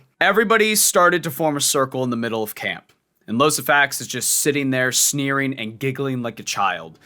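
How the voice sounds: Set against a quiet background, a natural reading voice comes through.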